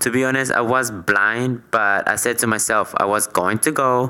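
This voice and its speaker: With a Latin American accent, a man talks with fairly even intonation. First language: Spanish. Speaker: podcast co-host. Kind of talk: casual chat.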